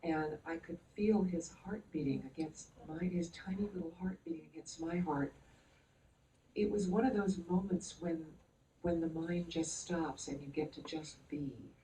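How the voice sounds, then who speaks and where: A woman's fairly low, somewhat breathy voice with a dark, mellow tone and fairly even intonation. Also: moderate pace. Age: 70s. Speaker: author. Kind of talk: panel discussion.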